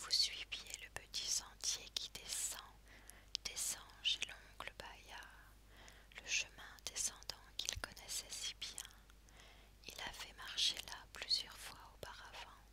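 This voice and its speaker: Someone whispers at a very slow pace with long, frequent pauses. There is noticeable background noise. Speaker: ASMR content creator / reader. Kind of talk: sleep story narration with hypnotic slow pacing. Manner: whispered, soft-spoken, slow.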